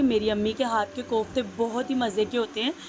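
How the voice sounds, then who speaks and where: Over noticeable background noise, a woman with a high voice talks at a fairly slow pace with fairly even intonation. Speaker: vlogger. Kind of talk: vlog voice-over.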